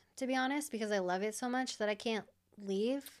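This woman has a fairly high pitch, a normal speaking voice and an American accent. The recording is very clean, with a silent background. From Iowa. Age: 30s. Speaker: motorcycle racer and graphic designer. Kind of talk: casual chat.

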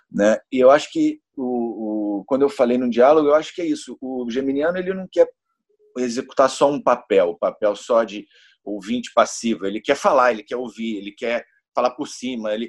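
At a moderate pace, a man with a medium-pitched voice and ordinary pitch variation speaks with big swings in loudness, the sound dry and close with no echo. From Niterói, Rio de Janeiro, Brazil. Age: 40s. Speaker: guest on astrology podcast. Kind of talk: casual chat. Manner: halting, repeats words.

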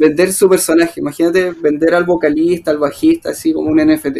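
A man's high voice in a Chilean accent, at a moderate pace with fairly even intonation. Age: 30s. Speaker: musician. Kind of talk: interview. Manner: halting.

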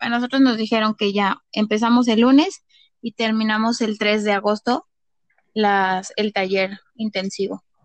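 A woman talks fairly slowly in an unremarkable speaking voice, fairly high in pitch with fairly even intonation. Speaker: kindergarten teacher. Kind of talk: casual chat.

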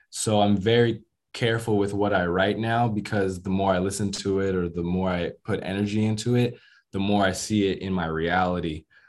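The speaker has an American accent and fairly even intonation. The recording is very clean, with a silent background. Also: man. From US. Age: 20s. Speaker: rapper. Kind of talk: interview. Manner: hesitant, many fillers.

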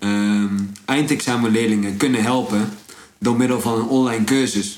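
A man talks at a medium pitch. Room echo can be heard. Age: 20s. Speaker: entrepreneur. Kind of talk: casual chat.

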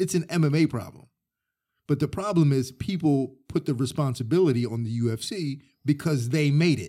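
This man has a plain, everyday voice with an American accent and a fairly high pitch. He talks at a fairly quick pace with lively intonation. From Delaware, later Florida. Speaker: mixed martial arts fighter and coach. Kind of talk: casual interview. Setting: studio on gym mats.

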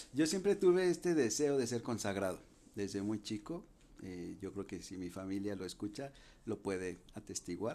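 A man speaks with a Jalisco accent at a moderate pace. His fairly low pitch has a dark, mellow tone and lively intonation. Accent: Mexican (western, Jalisco). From Mexico, Guadalajara. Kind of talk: podcast interview, explaining.

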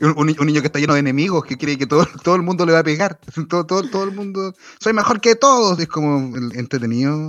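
The speaker has a Chilean accent and talks at a very fast pace. The intonation is lively. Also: man, fairly high pitch for a man. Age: 30s. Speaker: podcast host. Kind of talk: casual chat.

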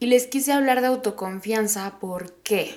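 A woman with a Mexican accent over noticeable background noise. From Mexico, Oaxaca. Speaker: podcast host. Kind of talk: casual monologue.

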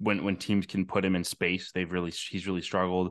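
This man has a very deep, low pitch and an American accent. The background is quiet. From upstate New York, Albany. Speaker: college basketball writer. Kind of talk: casual interview.

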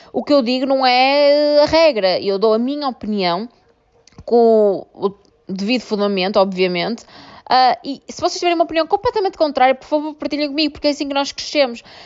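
In a European Portuguese accent, the speaker moves at a fairly quick pace with very wide pitch swings. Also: woman, high pitch for a woman. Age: 20s. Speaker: podcast host, law graduate. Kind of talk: casual monologue. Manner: hesitant, many fillers.

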